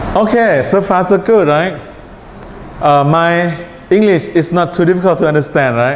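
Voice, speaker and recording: A man's high-pitched voice at a moderate pace, with long, frequent pauses, very even loudness, audible room echo and noticeable background noise. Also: ordinary pitch variation. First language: Thai. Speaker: English test teacher. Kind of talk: lecture. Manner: relaxed tone.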